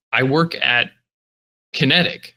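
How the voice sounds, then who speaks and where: A man in an American accent with a bright, sharp tone. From US South. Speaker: podcast host. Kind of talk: casual chat.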